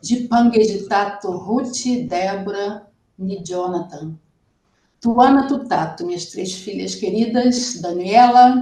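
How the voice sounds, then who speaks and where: The voice is dark and mellow, somewhat breathy and very slow, with ordinary pitch variation, big swings in loudness and audible room echo. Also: woman, medium pitch for a woman. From Brazil. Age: 60s. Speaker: student. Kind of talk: oral exam presentation.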